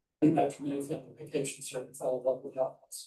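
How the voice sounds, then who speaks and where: This man talks at a fairly quick pace in a monotone, flat intonation. His voice is fairly high, somewhat breathy and dark and mellow in tone. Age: 70s. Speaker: planning commission applicant, retired mortgage lender. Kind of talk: reading a prepared statement at a council meeting.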